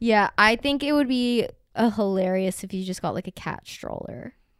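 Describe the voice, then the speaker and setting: With an American accent, a woman in an unremarkable speaking voice talks at a moderate pace with lively intonation, recorded very clean with a silent background and a dry, close sound with no echo. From US South. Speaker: podcast co-host. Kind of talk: casual chat.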